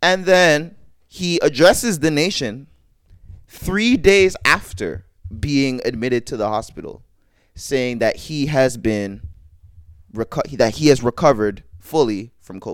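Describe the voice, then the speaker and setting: Over background music, the speaker moves at a fairly slow pace with long, frequent pauses, very wide pitch swings and big jumps in loudness. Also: man, fairly high pitch for a man. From Canada. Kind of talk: casual chat.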